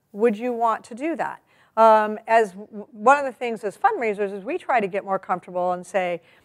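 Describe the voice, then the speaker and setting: A woman with an American accent speaks at a fairly high pitch. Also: very clean recording, silent background. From US, California. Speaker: fundraising trainer. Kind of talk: training workshop talk. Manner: conversational.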